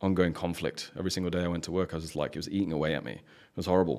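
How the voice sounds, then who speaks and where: Very fast speech with fairly even intonation, in an English accent. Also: man. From England. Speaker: high-performance coach. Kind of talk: casual chat.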